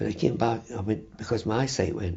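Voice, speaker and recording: Lively intonation and vocal fry mark a voice with a Dundee accent. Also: man. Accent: Scottish (Dundee). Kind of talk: interview. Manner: stammering; halting.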